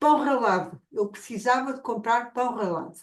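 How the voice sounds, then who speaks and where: Lively intonation in a woman's high voice. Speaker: academic. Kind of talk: academic discussion. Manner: slow.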